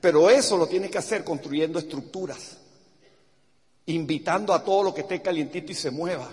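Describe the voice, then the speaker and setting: Animated in tone, this man speaks with a high pitch. His pitch variation is ordinary. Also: fairly quick pace. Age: 60s. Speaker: business motivational speaker. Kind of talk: motivational talk.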